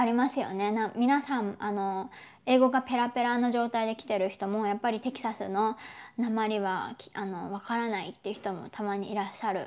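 A woman speaks at a moderate pace. Her intonation is fairly even. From Japan. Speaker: YouTuber. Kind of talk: live stream chat. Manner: casual, chatty. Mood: friendly, cheerful. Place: home room. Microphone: lapel.

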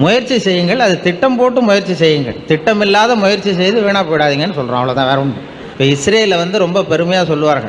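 A man with a high pitch and lively intonation talks over noticeable background noise. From Tamil Nadu, India. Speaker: public speaker. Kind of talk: public speech to an audience. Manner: humorous storytelling, colloquial.

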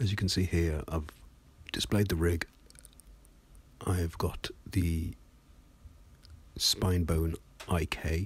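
The speaker has a British accent and a very slow pace. Long pauses come often. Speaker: 3D animation tutorial narrator. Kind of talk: casual, dry humour.

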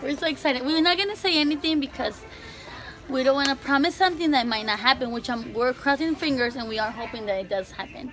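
Clear music plays in the background while the speech goes at a very fast pace. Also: woman. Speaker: vlogger. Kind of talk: casual vlog chat. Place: shop. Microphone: phone near.

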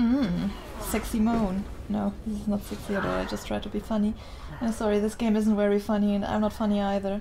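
A woman with a German accent, at a fairly quick pace and in a monotone, flat intonation, over noticeable background noise. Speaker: gamer streamer. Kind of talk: gaming commentary. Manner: scared, panicky. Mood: nervous, scared, self-mocking.

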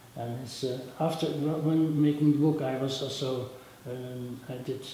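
Amid strong room echo and light background noise, a man talks fairly slowly at medium pitch in a monotone, flat intonation. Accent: Dutch. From Netherlands. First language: Dutch. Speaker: rock photographer. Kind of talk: interview answer. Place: hall.

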